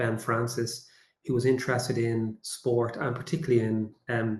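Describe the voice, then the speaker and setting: With a Dublin accent, a man talks at a medium pitch. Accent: Dublin Irish. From Ireland, suburbs of Dublin. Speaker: AI and communications consultant. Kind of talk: webinar presentation.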